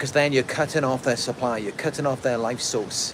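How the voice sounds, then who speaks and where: With noticeable background noise behind him, a man speaks at a medium pitch with a British accent. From UK. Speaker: narcissistic abuse survivor coach, video creator. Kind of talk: livestream monologue answering chat. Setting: outdoors in a park under a tree, livestream.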